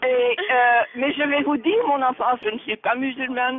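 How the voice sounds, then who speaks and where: At a very slow pace, a woman speaks in a high pitch, the sound dry with no echo. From Belgium. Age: 70s. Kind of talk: phone conversation. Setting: phone line. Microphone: phone line.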